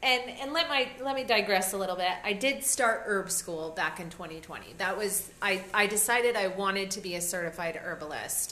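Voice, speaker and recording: A woman speaks at a medium pitch with hardly any pauses. Noticeable background noise and audible room echo are present. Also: moderate pace. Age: 40s. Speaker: podcast co-host, health and wellness. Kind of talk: casual chat. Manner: animated.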